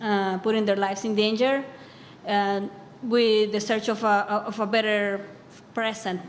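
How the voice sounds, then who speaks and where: Audible room echo surrounds a woman speaking at a moderate pace. Her intonation is monotone and flat. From Bolivia. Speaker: immigrant advocate. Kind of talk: panel discussion.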